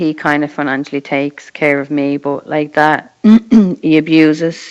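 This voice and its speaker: A woman's very deep, low voice in an Irish accent, flat and monotone, at a moderate pace. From Ireland. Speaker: mother sharing experience of abuse. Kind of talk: casual chat.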